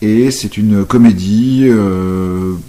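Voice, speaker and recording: A man's fairly low voice with a dark, mellow tone. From Brittany, Saint-Malo. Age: 40s. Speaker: actor and stage director. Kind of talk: interview. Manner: hesitant, many fillers.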